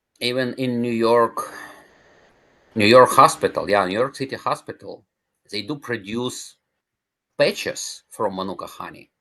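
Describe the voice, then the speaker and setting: A man speaks fairly slowly. Behind him, the background stays quiet. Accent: non-native. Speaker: cancer survivor, natural healing advocate. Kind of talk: interview. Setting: podcast.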